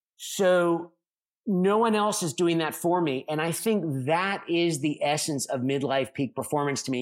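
A man with an American accent and a plain, everyday voice speaks at a fairly slow pace and fairly high pitch with ordinary pitch variation, on a very clean recording with a silent background. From United States. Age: 50s. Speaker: Olympic champion and performance coach. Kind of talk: interview conversation.

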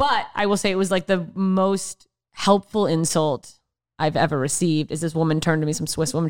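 A woman with an ordinary speaking voice, fairly low in pitch with ordinary pitch variation, at a moderate pace, in a dry, close sound with no echo on a very clean recording with a silent background. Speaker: comedian. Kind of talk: casual chat.

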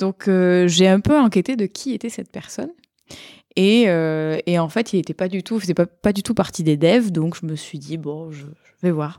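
On a very clean recording with a silent background, a woman speaks at a fairly slow pace in a dry, close sound with no echo. Her pitch is fairly low, with ordinary variation and a dark, mellow tone. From southern France, Montpellier. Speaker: software product manager, conference speaker. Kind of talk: casual chat.

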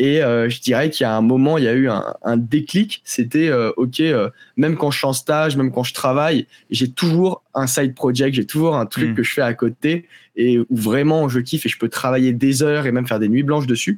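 A plain, everyday voice from a man at medium pitch, ordinary in pitch variation, dry and close with no echo, in a very clean recording with a silent background. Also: moderate pace. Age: 20s. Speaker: agency co-founder and CEO. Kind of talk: interview.

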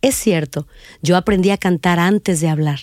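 The sound is dry and close, with no echo. Her voice, a woman's, has a dark, mellow tone. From northern Mexico, Reynosa, Tamaulipas. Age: 50s. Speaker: podcast host and narrator telling her own story. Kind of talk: scripted narration.

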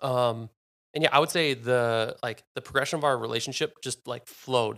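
A man with an American accent talks at a fairly quick pace and a medium pitch. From US Midwest, suburban Minnesota. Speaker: podcast guest. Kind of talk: casual chat.

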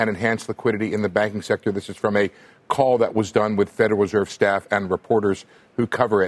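In a dry, close sound with no echo, a man speaks at a fairly quick pace in a normal speaking voice. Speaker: economics reporter. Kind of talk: live TV news panel.

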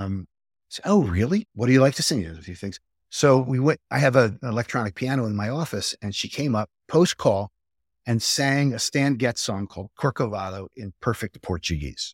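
A man with an American accent and an ordinary speaking voice talks at a moderate pace and medium pitch, with lively intonation and big swings in loudness. The recording is very clean, with a silent background and a dry, close sound with no echo. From Northeast Philadelphia, US. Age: 60s. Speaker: pediatric cardiologist. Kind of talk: interview.

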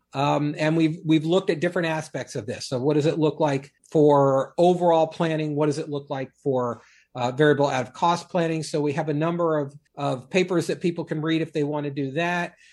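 Speaking in a plain, everyday voice with an American accent, a man with a fairly high pitch keeps a fairly quick pace. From Washington, D.C. area. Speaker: retirement planning expert. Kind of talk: podcast interview.

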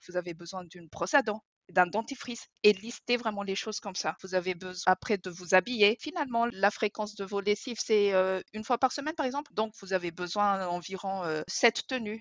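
A woman talks in an ordinary speaking voice at a fairly quick pace. Her pitch varies in an ordinary way, and her loudness swings widely. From Madagascar. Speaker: author and minimalism coach. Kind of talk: casual interview.

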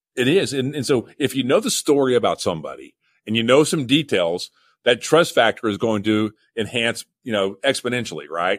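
A man speaks fairly quickly with an American accent at a medium pitch. He has an unremarkable speaking voice, and the sound is dry and close with no echo. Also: very clean recording, silent background. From Oklahoma. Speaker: museum chief executive. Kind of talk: interview.

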